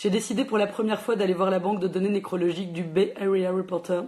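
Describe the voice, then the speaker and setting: A put-on character voice, raspy and very fast, at a middle pitch with very even loudness and fairly even intonation. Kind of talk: reading English text aloud within French speech.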